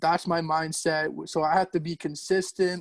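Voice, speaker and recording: A man with a Canadian accent talks at a high pitch in a monotone, flat way. The recording is very clean with a silent background. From Ontario, Canada. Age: 20s. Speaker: amateur stock car racer. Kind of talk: casual interview chat.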